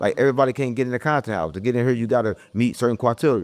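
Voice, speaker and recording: A man talks very fast in a St. Louis accent. His pitch varies in an ordinary way. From US Midwest, St. Louis. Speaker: internet personality. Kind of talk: casual interview. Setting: content house. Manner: stumbles over words.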